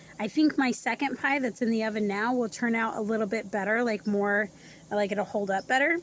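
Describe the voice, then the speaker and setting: The speech moves at a moderate pace with ordinary pitch variation, in a dry sound with no echo over light background noise. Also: woman. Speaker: cooking vlogger. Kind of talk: cooking tutorial. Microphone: phone near.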